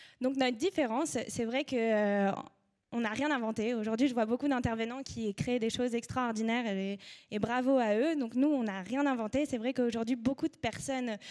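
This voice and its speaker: Her voice sits fairly high in pitch. The woman talks at a moderate pace with ordinary pitch variation. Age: 20s. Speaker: media co-founder. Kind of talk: conference talk. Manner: hesitant, many fillers.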